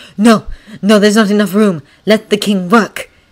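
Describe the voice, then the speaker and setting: A put-on character voice, growling at a fairly high pitch and a moderate pace. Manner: snarling.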